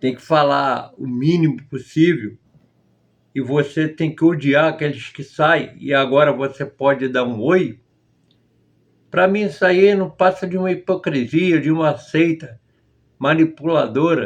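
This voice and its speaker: Long, frequent pauses break up the speech, which moves at a fairly slow pace. The pitch varies in an ordinary way. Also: man, fairly high pitch for a man. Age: 60s. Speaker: former member of a religious group. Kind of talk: testimony.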